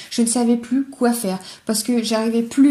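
A fairly high-pitched woman at a moderate pace, with noticeable background noise. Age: 20s. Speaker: podcaster sharing personal eating disorder story. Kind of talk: personal testimony monologue. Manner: casual, hesitant with fillers. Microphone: poor sound quality, older recording setup.

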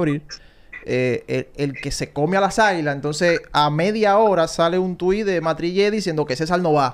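Here a man with a high pitch talks at a moderate pace with lively intonation. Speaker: baseball analyst. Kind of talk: casual chat.

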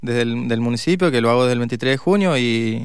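Pitched in the medium range, the man has an unremarkable speaking voice. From Mendoza, Argentina. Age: 40s. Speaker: mayoral candidate, politician. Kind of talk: radio interview. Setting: radio studio.

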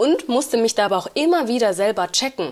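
A woman speaks with a plain, everyday voice. She keeps a moderate pace and lively intonation. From Uganda / Rwanda. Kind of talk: casual chat.

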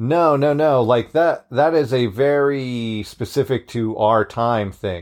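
Against a quiet background, a man talks very slowly with ordinary pitch variation. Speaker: podcast host. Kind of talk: casual banter chat. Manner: joking, irreverent.

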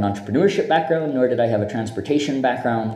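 Noticeable background noise and audible room echo surround the recording. A man speaks with lively intonation. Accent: American. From US Northeast, Boston, Massachusetts. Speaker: tech startup founder. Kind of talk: interview conversation. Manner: talkative.

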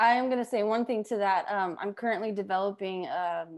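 An unremarkable speaking voice from a woman with an American accent, medium pitch, ordinary pitch variation and a fairly quick pace against a quiet background. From Las Vegas, US. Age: 30s. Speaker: film director and surf collective founder. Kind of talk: interview on a community video call.

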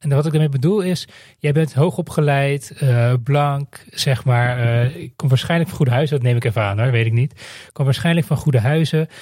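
A man speaks fairly quickly with hardly any pauses, his pitch fairly high with ordinary variation. His voice is somewhat breathy. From Netherlands. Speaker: podcast host. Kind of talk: scripted monologue.

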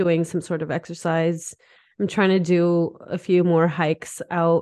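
At a fairly slow pace, a woman speaks at a fairly low pitch with monotone, flat intonation. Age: 30s. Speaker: podcast co-host. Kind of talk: casual chat. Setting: home office.

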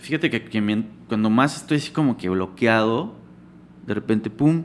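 A man's medium-pitched voice, an ordinary speaking voice, with ordinary pitch variation. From Yucatán, Mexico. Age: 30s. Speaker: graphic designer. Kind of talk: casual interview chat.

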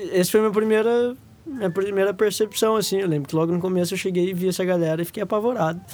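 Pitch high and movement ordinary, a man rattles along at a very fast pace. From Brazil, São Paulo state interior (Araraquara). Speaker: guitarist in a choro band. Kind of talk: casual interview chat.

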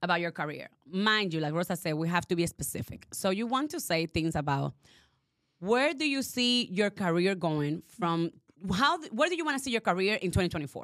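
Her tone animated, a woman speaks at a fairly quick pace with very wide pitch swings. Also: medium pitch for a woman. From Dominican Republic heritage. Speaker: podcast co-host. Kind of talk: casual chat. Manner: animated, laughing often.

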